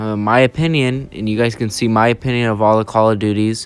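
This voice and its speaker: A man speaks in a monotone with flat intonation, his pitch medium. Music plays behind his moderate pace. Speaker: gaming youtuber. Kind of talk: casual ranking commentary. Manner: halting with many fillers.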